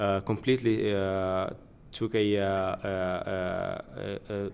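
On a very clean recording with a silent background, a man speaks in a fairly low voice with fairly even intonation. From Moldova. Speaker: wine importer. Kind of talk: interview. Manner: halting.

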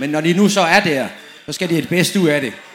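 With a high voice, a man speaks at a moderate pace and ordinary pitch variation. Noticeable background noise and audible room echo surround him. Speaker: former professional footballer. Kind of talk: panel discussion on stage. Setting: tent with live audience.

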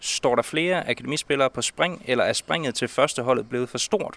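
The voice has a bright, sharp tone, moving at a fairly quick pace with ordinary pitch variation. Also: man. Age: young. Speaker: sports reporter. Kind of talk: interview. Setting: outdoors.

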